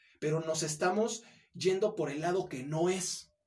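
This man's voice sits at a high pitch. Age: 20s. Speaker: former social media video creator. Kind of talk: casual chat. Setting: host's home or office.

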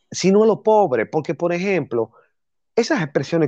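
A man talks at a fairly quick pace in a dark, mellow tone. The sound is dry and close with no echo, against a quiet background. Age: 30s. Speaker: podcast host. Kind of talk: casual chat.

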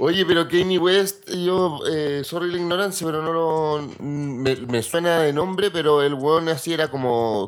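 Speaking fairly slowly yet hardly pausing, a man with a Chilean accent uses a fairly high pitch with ordinary variation. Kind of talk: casual chat.

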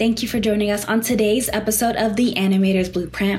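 A woman's medium-pitched voice, fairly even in intonation, over noticeable background noise. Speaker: podcast host. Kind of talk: interview, scripted intro.

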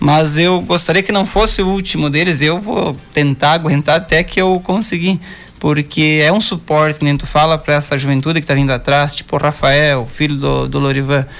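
A plain, everyday voice moves at a moderate pace with very even loudness, ordinary pitch variation, and hardly any pauses. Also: man, fairly high pitch for a man. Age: 40s. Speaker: amateur footballer. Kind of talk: radio interview. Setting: radio studio.

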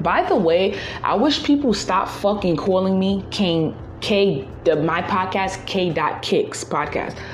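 Amid noticeable background noise, a woman at medium pitch speaks at a fairly slow pace. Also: ordinary pitch variation. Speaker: solo podcaster. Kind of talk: casual monologue. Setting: outdoors walking, on phone.

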